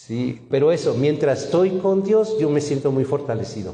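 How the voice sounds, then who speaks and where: Speaking at a fairly slow pace, a man makes very wide pitch swings amid audible room echo and noticeable background noise. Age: 60s. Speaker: pastor. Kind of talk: sermon. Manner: animated.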